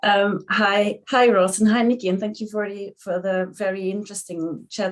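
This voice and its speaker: This is a woman speaking. She has a Belgian accent. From Belgium. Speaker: physiotherapist. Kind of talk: panel discussion.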